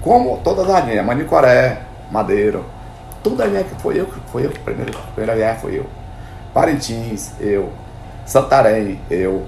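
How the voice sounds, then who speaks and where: This man talks with long, frequent pauses. The recording has audible room echo and noticeable background noise. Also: moderate pace. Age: 60s. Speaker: boat builder and river transport entrepreneur. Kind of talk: interview. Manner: halting, repeats words.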